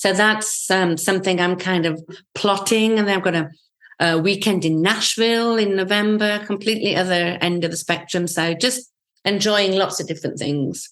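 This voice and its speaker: Speaking at a moderate pace, a woman with an English accent keeps a medium pitch and fairly even intonation. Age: 60s. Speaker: travel group founder. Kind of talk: casual chat.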